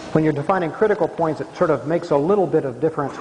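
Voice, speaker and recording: Amid noticeable background noise and audible room echo, a man talks at a fairly high pitch with ordinary pitch variation. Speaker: mathematics professor. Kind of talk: lecture. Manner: fast.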